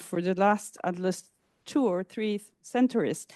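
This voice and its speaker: The speaker talks at a fairly slow pace with a Spanish accent and ordinary pitch variation, the sound dry and close with no echo. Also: woman. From Argentina. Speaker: academic conference speaker. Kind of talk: conference talk. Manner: halting, with many fillers.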